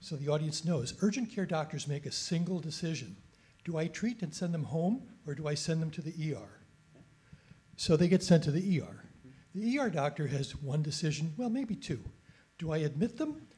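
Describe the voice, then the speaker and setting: Against a quiet background, a man with a fairly high pitch speaks with lively intonation and a dark, mellow tone. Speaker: retired family doctor, audience member. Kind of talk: audience comment at panel. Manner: loud.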